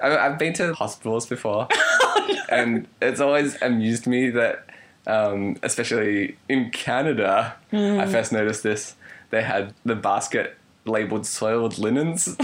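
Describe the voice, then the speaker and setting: A man with lively intonation at a fairly slow pace, very even loudness, and noticeable background noise. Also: medium pitch for a man. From Canada. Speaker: podcast co-host.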